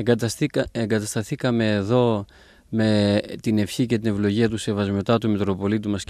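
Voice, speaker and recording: A man's fairly low, monotone voice with flat intonation at a moderate pace, dry with no echo, over a quiet background. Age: 30s. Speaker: abbot and priest; priest. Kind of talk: interview. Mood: calm, gentle. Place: garden. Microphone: handheld.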